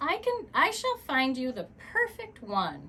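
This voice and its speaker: A put-on character voice from a woman, pitched extremely high, delivered at a fairly slow pace. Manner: hushed.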